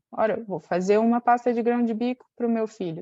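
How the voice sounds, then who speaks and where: A woman speaks at a fairly high pitch, with a dark, mellow tone. Her intonation is fairly even, and the background is quiet. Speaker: nutrition educator. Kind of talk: webinar presentation.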